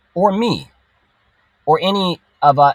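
A somewhat breathy man with an American accent and lively intonation, in a dry, close sound with no echo. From Texas. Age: 30s. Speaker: children's show producer and entrepreneur. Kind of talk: casual interview chat.

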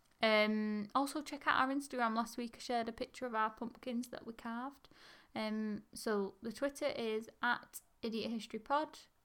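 A woman with an English accent speaks at a moderate pace with a fairly high pitch and fairly even intonation. The recording is very clean, with a silent background. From England. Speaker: history podcast co-host. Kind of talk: casual chat.

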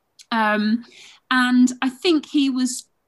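A woman with a southern English accent speaks in a somewhat breathy voice. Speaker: boxing and wrestling historian. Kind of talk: interview. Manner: hesitant, many filler ums.

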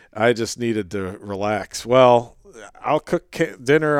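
The speaker has an American accent and a fairly slow pace. The recording is very clean, with a silent background. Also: man. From upstate New York. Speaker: wildlife biologist. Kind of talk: casual interview chat.

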